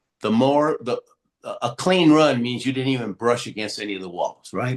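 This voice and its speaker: At a fairly quick pace, a man speaks at a medium pitch with lively intonation. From Houston, Texas (born in Argentina). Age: 60s. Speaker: Olympic athlete and motivational speaker. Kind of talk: podcast interview. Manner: animated storytelling with many fillers.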